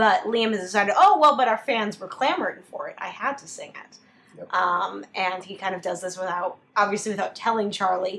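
Loudness swings widely over noticeable background noise. The pace is fairly quick and the pitch varies in an ordinary way. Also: woman, medium pitch for a woman. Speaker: podcast host. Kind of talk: casual chat. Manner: animated.

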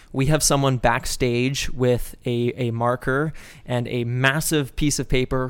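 Speaking at a moderate pace with a Canadian accent, a man uses an unremarkable speaking voice at medium pitch. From Calgary, Alberta (moved from Toronto at twelve). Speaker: podcast co-host and actor/improviser. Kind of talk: casual chat.

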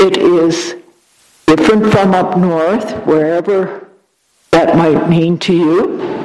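Speaking at a very slow pace, a woman keeps her loudness very even and her intonation fairly even, her pitch fairly low. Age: old. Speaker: parish nurse. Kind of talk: event introduction. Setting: church.

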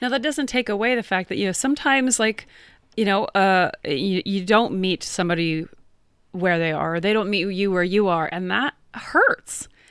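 A woman's normal speaking voice, lively in intonation, at a moderate pace. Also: medium pitch for a woman. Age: 40s. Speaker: podcast co-host. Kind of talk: casual chat.

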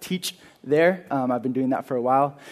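A fairly quick pace against a quiet background. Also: man. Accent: American. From California, Carpinteria. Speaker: youth leader. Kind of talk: sermon. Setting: church.

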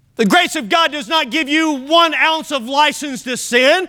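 A man with an extremely high pitch speaks in a raised, projected voice, with lively intonation and a bright, sharp tone. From Kentucky. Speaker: pastor. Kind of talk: sermon. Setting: church.

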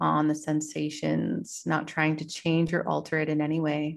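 In a very clean recording with a silent background, a woman speaks in a calm, soothing tone with monotone, flat intonation. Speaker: podcast host and yoga teacher. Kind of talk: guided meditation. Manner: slow, calm, soothing, gently paced with pauses; soft-spoken, warm and instructive.

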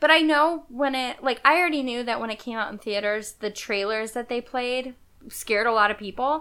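Very clean, with a silent background, this recording has a woman with a high voice and a bright, sharp tone. She moves at a fairly quick pace with ordinary pitch variation. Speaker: podcast co-host. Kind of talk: casual chat. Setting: home couch recording.

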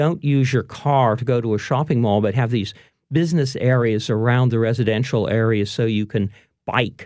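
A plain, everyday voice from a man, medium in pitch, with ordinary pitch variation and a moderate pace. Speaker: historian and author. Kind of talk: casual interview chat. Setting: radio studio. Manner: relaxed, chatty, laughs often.

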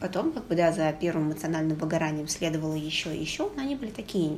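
Noticeable background noise behind a fairly quick pace. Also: woman. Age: 20s. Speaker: podcast co-host. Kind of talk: casual chat. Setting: call.

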